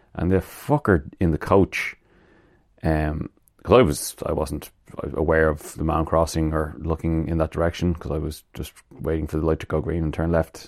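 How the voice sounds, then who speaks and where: In a Dublin accent, a man with a very deep, low pitch speaks at a moderate pace with fairly even intonation. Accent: Irish (Dublin). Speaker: podcast host. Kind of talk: casual solo monologue. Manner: halting, many fillers.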